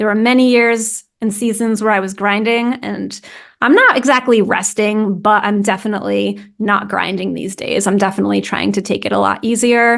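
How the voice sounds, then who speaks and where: Speaking with an American accent, a woman with a fairly high pitch uses monotone, flat intonation and hardly any pauses. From US Northeast, New England. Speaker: content strategy consultant, founder. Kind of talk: podcast interview. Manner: fast.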